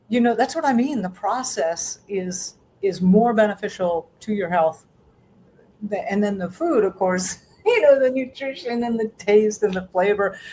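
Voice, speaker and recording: This woman's voice sits at a medium pitch with lively intonation. She talks at a moderate pace. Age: 60s. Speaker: self-sufficiency educator and homesteader. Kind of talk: interview. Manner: halting; animated.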